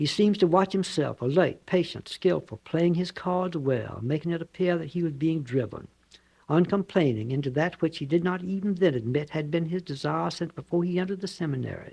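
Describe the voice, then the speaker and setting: This man has a high pitch and a dark, mellow tone with ordinary pitch variation. He talks fairly quickly in a Southern US accent. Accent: Southern American. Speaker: novelist. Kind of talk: author reading own novel.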